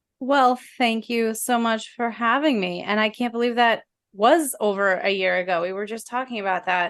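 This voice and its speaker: A woman speaks with a New Jersey accent. The background is quiet. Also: fairly high pitch for a woman, ordinary pitch variation, moderate pace. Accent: New Jersey American. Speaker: videographer and photographer. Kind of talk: interview. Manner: articulate.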